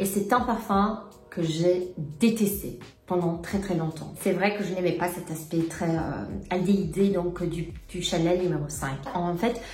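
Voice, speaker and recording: A woman with a Luxembourgish accent speaks fairly slowly at a fairly low pitch, with ordinary pitch variation. Room echo and background noise are both noticeable. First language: Luxembourgish (speaking French). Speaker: perfume YouTuber. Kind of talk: casual vlog talk to camera. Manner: hesitant, many fillers.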